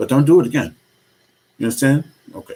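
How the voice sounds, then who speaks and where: Soft-spoken, a man talks at a medium pitch. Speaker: vlogger. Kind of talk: personal vlog monologue.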